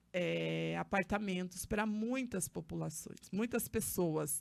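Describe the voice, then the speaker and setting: A woman at a medium pitch and very slow pace, with ordinary pitch variation, on a very clean recording with a silent background. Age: 30s. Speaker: social activist and council candidate. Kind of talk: podcast interview. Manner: hesitant, with fillers.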